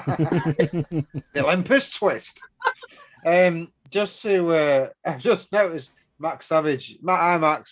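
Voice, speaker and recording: Speaking very slowly, a man with a strong Manchester accent has a fairly high pitch. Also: ordinary pitch variation. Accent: Mancunian, strong. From Manchester, northern England. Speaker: vaping show co-host. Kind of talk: casual chat.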